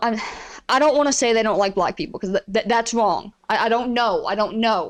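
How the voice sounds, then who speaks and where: Here a woman talks with an Appalachian accent at a fairly high pitch. Her pace is moderate, and her pitch varies in an ordinary way. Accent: Appalachian mountain. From Appalachia, eastern Kentucky (Pikeville). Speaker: streamer and podcast host. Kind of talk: casual monologue rant. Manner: animated, frequent stammers and restarts.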